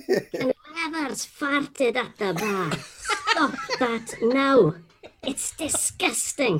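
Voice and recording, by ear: A put-on character voice, high-pitched, at a very slow pace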